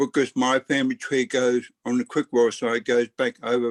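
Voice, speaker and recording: Speaking at a moderate pace, a man talks in an Australian accent. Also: dry, close sound with no echo. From Australia, Brisbane. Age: 50s. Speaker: book club member. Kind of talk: casual chat. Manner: halting.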